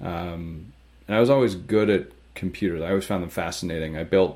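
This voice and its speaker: Speaking with a Canadian accent, a man with a very deep, low pitch keeps his intonation fairly even on a very clean recording with a silent background. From Canada, small town. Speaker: tech startup co-founder and CTO. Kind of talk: interview.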